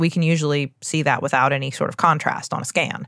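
At a fairly quick pace, a woman speaks with fairly even intonation on a very clean recording with a silent background. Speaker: physician and podcast co-host. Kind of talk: casual chat.

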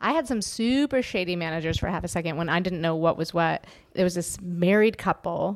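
A woman with a normal speaking voice talks at a fairly quick pace, her fairly low pitch showing ordinary pitch variation. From Canada, Toronto. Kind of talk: casual chat.

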